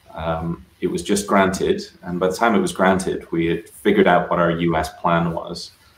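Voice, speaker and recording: Noticeable background noise runs beneath a man speaking at a moderate pace. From Scotland (Aberdeenshire, north-east). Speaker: software engineer. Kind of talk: casual interview chat.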